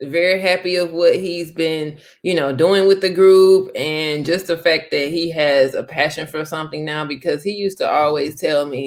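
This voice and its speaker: In an American accent, a woman with a fairly low pitch and ordinary pitch variation talks at a moderate pace, her loudness swinging widely. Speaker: host's wife. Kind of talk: casual chat. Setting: Facebook live stream. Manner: calm, reserved.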